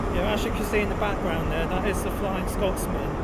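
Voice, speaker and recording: The speech moves at a fairly quick pace. Loud background noise is present. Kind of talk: casual vlog commentary. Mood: enthusiastic, pleased. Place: station. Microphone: phone near.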